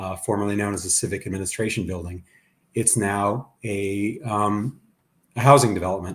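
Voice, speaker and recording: Somewhat breathy, fairly low-pitched male voice with an Ohio accent, fairly even intonation, and a very clean recording over a silent background. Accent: Ohio twang. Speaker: urban planner. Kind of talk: panel discussion.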